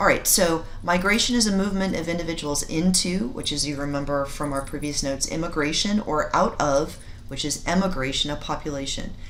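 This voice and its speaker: A woman talks fairly quickly with hardly any pauses, amid noticeable background noise and audible room echo. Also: fairly low pitch for a woman, ordinary pitch variation. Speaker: science teacher. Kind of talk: recorded lecture. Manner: halting; many fillers.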